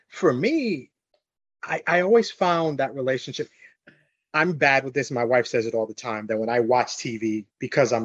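A man with an American accent and a normal speaking voice, at a moderate pace with ordinary pitch variation, against a quiet background. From New York. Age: 40s. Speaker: podcast guest. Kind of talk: casual chat.

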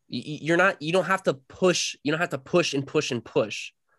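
Over a quiet background, a man with a normal speaking voice and an American accent talks at a fairly quick pace and a fairly high pitch. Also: dry, close sound with no echo. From US South, North Carolina. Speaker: competitive swimmer. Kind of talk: interview. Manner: casual.

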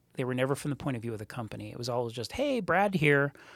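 A man's voice with very wide pitch swings. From Montreal, Canada. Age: 40s. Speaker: startup co-founder. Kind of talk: interview. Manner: animated.

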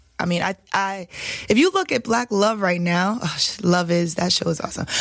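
A woman with a New York accent speaks at a moderate pace, her medium pitch held in fairly even intonation. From Staten Island, New York. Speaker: reality competition winner, entrepreneur. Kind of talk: interview.

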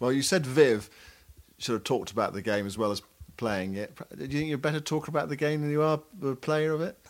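In an ordinary speaking voice, a man talks at a fairly quick pace with a fairly high pitch and lively intonation. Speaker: cricket podcast co-host. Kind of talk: casual analytical chat.

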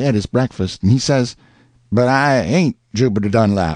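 A man with an ordinary speaking voice talks at a fairly quick pace with lively intonation, the sound dry and close with no echo and a quiet background. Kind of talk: audiobook reading of a novel.

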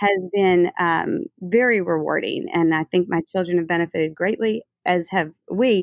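Speaking in an unremarkable speaking voice with an American accent, a woman keeps a medium pitch, ordinary pitch variation, very even loudness and a moderate pace with hardly any pauses. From New Orleans, US. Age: 40s. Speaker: interior designer and business owner. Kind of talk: interview.

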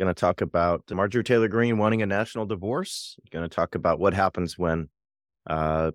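A man with a plain, everyday voice and an American accent speaks at a fairly quick pace and fairly low pitch, with ordinary pitch variation, in a dry, close recording with no echo and a quiet background. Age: 40s. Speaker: podcast host, teacher. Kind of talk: casual chat about news and politics.

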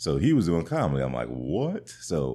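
A man's very deep, low-pitched voice with an American accent at a fairly quick pace. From Colorado. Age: 20s. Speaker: stand-up comedian. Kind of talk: interview.

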